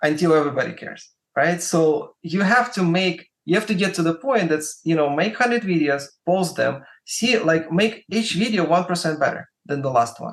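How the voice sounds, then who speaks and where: With a Russian accent, a man talks at a fairly quick pace in a high pitch. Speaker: music marketer and YouTuber. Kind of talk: podcast interview. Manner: hesitant, many fillers and repetitions.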